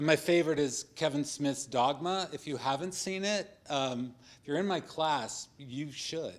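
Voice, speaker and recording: Recorded very cleanly against a silent background, a man with a fairly high pitch speaks at a fairly slow pace with ordinary pitch variation. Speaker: professor. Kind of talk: panel debate. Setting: stage with audience. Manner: loud. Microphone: speaking without the mic.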